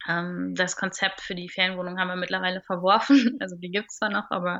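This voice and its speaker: The speaker has a normal speaking voice. The pace is moderate and the intonation fairly even. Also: woman. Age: 30s. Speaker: stand-up paddling instructor. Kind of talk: casual interview. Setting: remote call.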